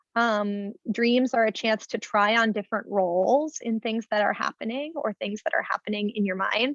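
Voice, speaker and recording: A woman has a normal speaking voice with a fairly high pitch and fairly even intonation at a moderate pace. The sound is dry and close, with no echo. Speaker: clinical psychologist. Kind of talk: webinar talk.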